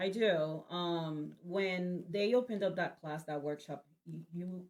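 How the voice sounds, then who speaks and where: This woman speaks with a Spanish accent. Her pitch is fairly low. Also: ordinary pitch variation. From Spanish-speaking country, moved to US at 18. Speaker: event organizer, nurse. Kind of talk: casual interview. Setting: studio, livestream.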